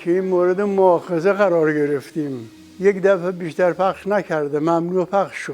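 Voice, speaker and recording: A man speaks at a fairly slow pace in a high pitch. His intonation stays fairly even. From Isfahan province, Iran. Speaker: vocalist and musician. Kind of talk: interview answer.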